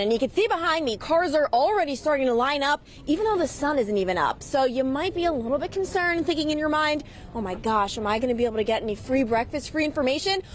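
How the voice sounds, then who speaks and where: A woman with an American accent talks at a very fast pace in a high voice, with noticeable background noise behind her. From Long Island, New York. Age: 20s. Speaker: TV news reporter. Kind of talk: TV news field report.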